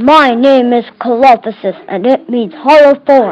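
A woman speaks at a fairly slow pace in a put-on character voice, pitched high. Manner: playful, pretend.

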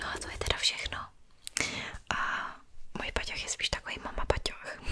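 A woman is whispering. Her pace is moderate. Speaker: ASMR creator. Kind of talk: soft-spoken show-and-tell chat. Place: home room. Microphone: studio mic.

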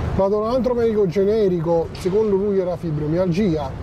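A man speaks in a high voice over noticeable background noise. The sound is dry, with no echo. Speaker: interviewee. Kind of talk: interview answer. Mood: weary, subdued. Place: garden. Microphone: lapel.

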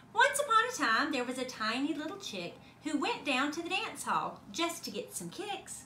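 The voice is high-pitched, with very wide swings. Background noise is clearly audible. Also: moderate pace. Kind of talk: bedtime story. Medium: read story. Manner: sing-song, rhythmic, playful.

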